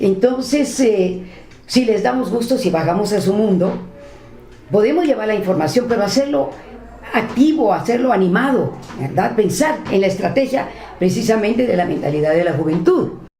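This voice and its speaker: Noticeable background noise sits behind a woman speaking at a moderate pace and medium pitch. Her pitch swings very widely while her loudness stays very even. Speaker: radio professional, interviewee. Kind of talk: interview answer.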